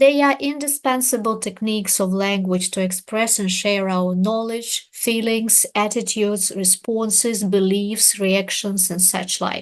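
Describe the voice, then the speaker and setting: A woman with a Russian accent, medium-pitched, at a fairly slow pace with hardly any pauses, against a quiet background. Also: ordinary pitch variation. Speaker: English teacher. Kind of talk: webinar presentation. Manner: formal.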